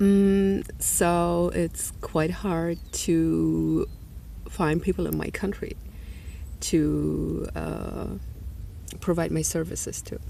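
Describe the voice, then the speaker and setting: Speaking very slowly with a non-native accent, a woman leaves long, frequent pauses amid audible room echo. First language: not English. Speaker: energy healer and spiritual vlogger. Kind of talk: personal video diary monologue. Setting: outdoors. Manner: halting, many fillers.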